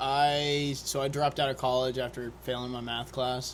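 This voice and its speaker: A man speaks with an American accent at a fairly slow pace. His intonation is monotone and flat. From Oklahoma, Oklahoma City area. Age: 20s. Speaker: firefighter and rafting guide. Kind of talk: casual interview. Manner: halting.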